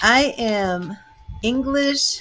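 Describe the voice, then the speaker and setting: Music plays behind a woman with an American accent. Her pitch is fairly high, with ordinary variation. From Boston, Massachusetts. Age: 50s. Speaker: tarot reader and psychic medium. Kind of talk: casual chat.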